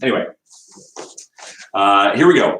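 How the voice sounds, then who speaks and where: This is a man speaking with a Canadian accent. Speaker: quiz host. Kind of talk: livestream trivia quiz hosting. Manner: fast.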